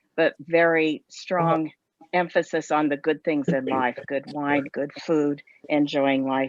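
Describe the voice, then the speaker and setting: In an American accent, a woman with a very deep, low pitch speaks at a very slow pace in a monotone, flat way. The sound is dry and close, with no echo. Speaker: former university instructor in France, travel enthusiast. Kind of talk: casual chat.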